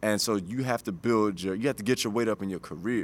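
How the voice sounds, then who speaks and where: This man has a plain, everyday voice, fairly low in pitch and delivered at a fairly quick pace. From Chicago South Side, US. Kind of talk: casual interview conversation.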